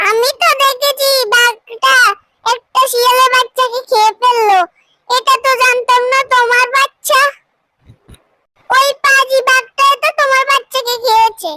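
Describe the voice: In a cartoonish character voice, the speaker talks at an extremely high pitch and a fairly slow pace.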